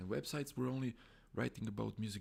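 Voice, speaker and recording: A man with a non-native accent speaks with lively intonation. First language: Croatian or Serbian. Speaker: music blogger and YouTuber. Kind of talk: casual live stream talk. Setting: live stream. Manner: halting.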